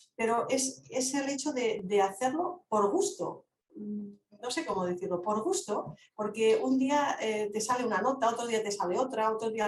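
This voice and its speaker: Her voice fairly high and her intonation lively, a woman speaks at a fairly slow pace with hardly any pauses. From Catalonia, Lleida. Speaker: philosophy speaker. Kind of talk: online Q&A discussion. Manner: halting.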